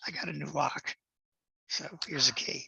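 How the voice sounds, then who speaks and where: Someone puts on a raspy character voice and talks at a moderate pace. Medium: actual play. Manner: gentle, warm.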